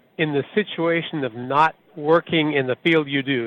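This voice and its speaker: A man with an American accent speaks at a fairly high pitch with ordinary pitch variation. He uses a normal speaking voice. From US Midwest, Iowa. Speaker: truck driver, caller. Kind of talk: recorded voicemail question.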